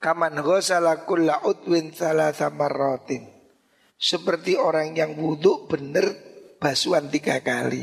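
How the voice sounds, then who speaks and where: Speaking at a very slow pace, a man keeps his fairly high pitch on a fairly even intonation. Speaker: Islamic cleric teaching a classical text. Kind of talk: religious lecture.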